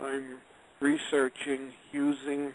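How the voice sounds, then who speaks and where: Noticeable background noise runs under this clip. A man speaks with a fairly high pitch. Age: 60s. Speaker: retired engineer and author. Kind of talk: interview. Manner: conversational.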